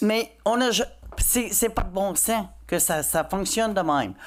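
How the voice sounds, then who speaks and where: A woman with an English accent and vocal fry at a very slow pace. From Quebec (Châteauguay). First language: English (speaking French). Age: 60s. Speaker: citizen at council question period. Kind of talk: public comment at council meeting.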